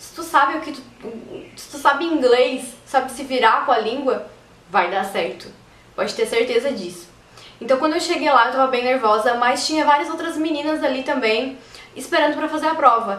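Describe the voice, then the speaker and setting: A woman talks at a high pitch with ordinary pitch variation. Audible room echo and noticeable background noise are present. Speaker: YouTuber. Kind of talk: casual vlog talk. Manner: fast.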